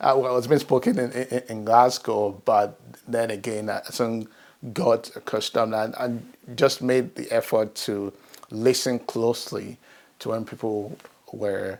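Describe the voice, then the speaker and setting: A fairly slow pace and fairly even intonation, with a Nigerian accent. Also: man, medium pitch for a man. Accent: Nigerian (Yoruba) English. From Nigeria, Ibadan. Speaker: professional network member. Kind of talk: personal testimony interview. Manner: hesitant, many fillers and restarts.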